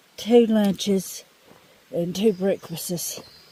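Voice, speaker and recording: A woman talks at a very slow pace. Noticeable background noise runs behind her. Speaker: hiker vlogger. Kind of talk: casual vlog narration. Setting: outdoors on a hiking trail.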